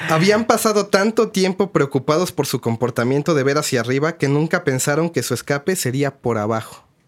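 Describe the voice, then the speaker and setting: Speaking in a Mexican accent with hardly any pauses, a man uses a fairly high pitch and lively intonation. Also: fairly quick pace. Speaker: podcast co-host. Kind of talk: storytelling.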